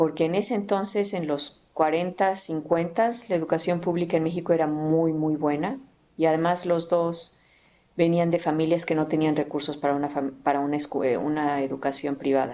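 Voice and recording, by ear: In a central Mexican accent, a woman speaks at a fairly quick pace with a low pitch. Her tone is slightly mellow, and her pitch moves little.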